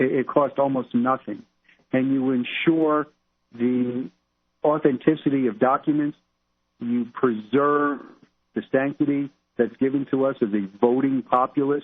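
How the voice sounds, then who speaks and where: Pausing long and often, a man with a New York accent speaks at a medium pitch and moderate pace with fairly even intonation. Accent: New York street. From Brooklyn, New York. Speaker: criminal investigator. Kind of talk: talk radio interview.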